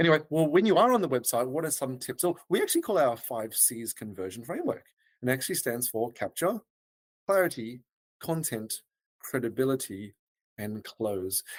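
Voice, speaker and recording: A man speaks in an Australian accent at a medium pitch, his pitch swinging very widely. The sound is dry and close, with no echo. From Australia, Melbourne. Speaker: web design agency founder. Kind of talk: podcast interview. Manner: hesitant with fillers.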